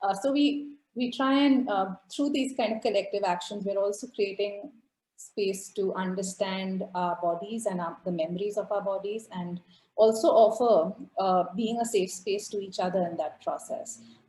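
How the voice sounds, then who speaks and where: At a moderate pace, a woman speaks in a somewhat breathy, dark, mellow tone at a medium pitch, with ordinary pitch variation. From India, Calcutta. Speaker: activist and artist. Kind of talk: presentation.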